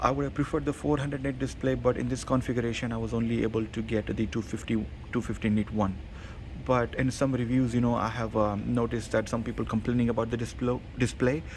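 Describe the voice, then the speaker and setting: Talking at a very fast pace with vocal fry, a man shows ordinary pitch variation. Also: medium pitch for a man. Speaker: tech reviewer. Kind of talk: product review. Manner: hesitant, many fillers.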